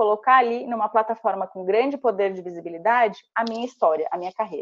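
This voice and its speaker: In a plain, everyday voice, a woman speaks at a fairly quick pace with a fairly high pitch and ordinary pitch variation. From Santa Catarina, Brazil (small interior town). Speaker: tech company relationship manager, former recruiter. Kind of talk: interview, career advice tutorial.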